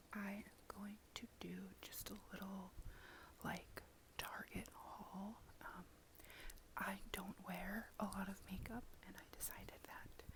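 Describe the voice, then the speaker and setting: A whisper creeps along very slowly, broken by long and frequent pauses. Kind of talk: ASMR haul talk to camera. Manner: soft-spoken.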